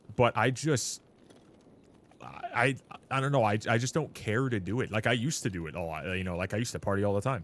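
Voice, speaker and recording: A man with a Canadian accent, fairly low pitch, very fast pace and lively intonation. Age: 20s. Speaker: gaming streamer. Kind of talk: casual chat. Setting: live stream.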